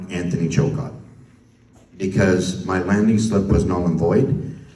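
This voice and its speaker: With a Canadian accent, a man talks at a moderate pace amid noticeable background noise and audible room echo. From Canada. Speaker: spokesperson for an activist group. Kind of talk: public talk to an audience. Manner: casual, conversational.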